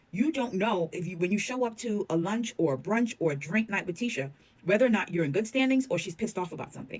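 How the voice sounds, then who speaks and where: This woman talks at a very fast pace. Her tone is animated and her intonation lively. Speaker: reality TV commentator. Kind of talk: casual commentary monologue.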